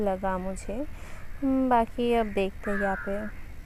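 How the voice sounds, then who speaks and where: A woman's fairly high voice moves in fairly even intonation. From West Bengal. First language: Bengali (speaking Hindi). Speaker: travel vlogger. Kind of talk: casual vlog narration. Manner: halting.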